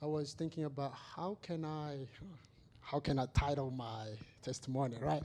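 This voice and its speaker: A man with a fairly high pitch and a dark, mellow tone speaks at a moderate pace with ordinary pitch variation in a very clean recording with a silent background. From Madagascar. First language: not English. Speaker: church member giving testimony. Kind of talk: testimony.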